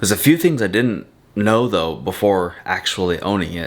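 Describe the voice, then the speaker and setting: Over noticeable background noise, a man with a fairly low voice speaks at a fairly quick pace with lively intonation. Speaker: vlogger. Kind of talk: casual vlog talk. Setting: at home.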